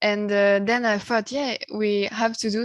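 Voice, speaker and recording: Against a quiet background, a woman with a French accent speaks at medium pitch in a flat, monotone way. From France. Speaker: musician. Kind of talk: interview. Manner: halting, many hesitations.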